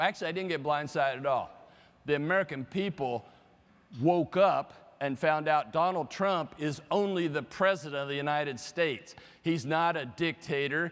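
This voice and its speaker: A fairly high male voice with ordinary pitch variation, at a moderate pace. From Kansas, US Midwest. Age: 60s. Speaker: economist. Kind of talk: conference keynote talk. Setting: stage with audience. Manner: animated.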